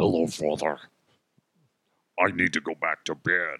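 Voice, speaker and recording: A put-on character voice at a moderate pace, with monotone, flat intonation. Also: man, very deep, low pitch for a man. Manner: menacing.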